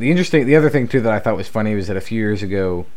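The speaker has a plain, everyday voice. Pitch moves in an ordinary way. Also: man. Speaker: podcast host. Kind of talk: casual banter podcast.

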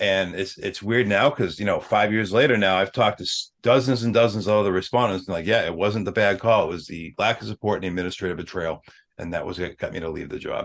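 In an American accent, a man talks at a very fast pace with hardly any pauses, a fairly low pitch and ordinary pitch variation, on a very clean recording with a silent background. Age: 40s. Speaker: former firefighter and mental health advocate. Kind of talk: personal testimony in interview.

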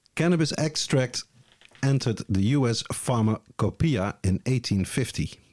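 Speaking with a Dutch accent, a man uses lively intonation at a medium pitch and a fairly slow pace, in a dry, close sound with no echo. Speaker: podcast host. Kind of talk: casual chat. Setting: studio.

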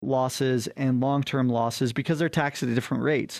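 A man with an unremarkable speaking voice talks at a fairly quick pace and medium pitch, intonation fairly even, in a dry, close sound with no echo. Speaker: financial advisor radio host. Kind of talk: infomercial sales pitch. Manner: urgent, pitchy call-to-action; promotional, persuasive and salesy.

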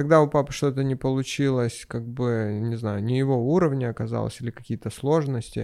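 Against a quiet background, a man with a dark, mellow tone and medium pitch talks at a fairly quick pace with hardly any pauses and fairly even intonation. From Crimea, Sevastopol. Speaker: entrepreneur. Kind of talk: casual chat.

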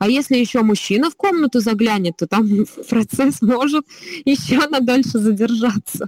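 A woman with a normal speaking voice talks at a moderate pace, her pitch fairly high and her intonation lively. The sound is dry and close, with no echo. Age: 30s. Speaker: slavic gymnastics trainer. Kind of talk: casual chat.

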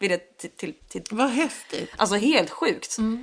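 A woman's voice at fairly high pitch. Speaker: singer and voice teacher. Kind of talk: casual interview.

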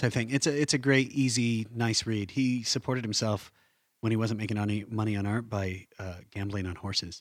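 A normal speaking voice, fairly quick in pace and fairly even in intonation. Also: man, medium pitch for a man. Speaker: podcast host. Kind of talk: casual interview. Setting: studio.

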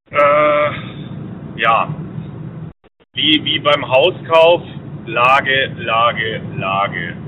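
A man's fairly high voice at a very slow pace, with ordinary pitch variation and long, frequent pauses. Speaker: caller. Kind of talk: casual chat. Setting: phone call.

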